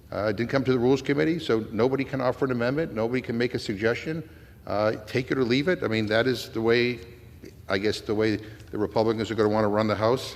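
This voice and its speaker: With a Massachusetts accent, a man speaks at a very fast pace. His pitch varies in an ordinary way. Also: medium pitch for a man. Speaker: congressman. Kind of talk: floor debate speech. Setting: legislative chamber. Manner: halting, many fillers.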